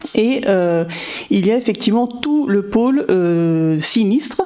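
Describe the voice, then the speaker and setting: A woman speaks with lively intonation over noticeable background noise. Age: 40s. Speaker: insurance manager. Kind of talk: podcast interview.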